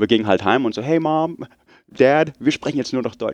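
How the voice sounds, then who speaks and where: With an English accent, a man talks at a fairly quick pace with lively intonation, the sound dry and close with no echo against a quiet background. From Munich, Germany and US (Oregon). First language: English (speaking German). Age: 30s. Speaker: podcaster, technical writer. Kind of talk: interview. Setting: podcast festival, on-site recording.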